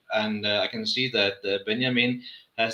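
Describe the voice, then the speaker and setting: The speech moves at a moderate pace. It carries a Danish accent. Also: man. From Denmark. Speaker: rum brand manager. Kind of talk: live tasting chat. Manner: halting.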